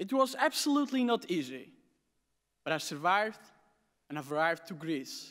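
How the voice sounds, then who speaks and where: Against a quiet background, a man with a high-pitched voice talks at a moderate pace with very wide pitch swings. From Aleppo, Syria; Syria. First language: Armenian or Arabic. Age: 20s. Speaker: refugee student. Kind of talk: prepared speech. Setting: stage with audience at academic ceremony. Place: hall. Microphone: podium.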